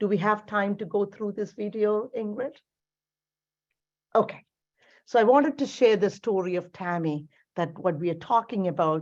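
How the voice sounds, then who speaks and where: Against a quiet background, a woman speaks at a moderate pace and medium pitch with ordinary pitch variation and long, frequent pauses. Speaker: cancer care executive. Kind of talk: presentation.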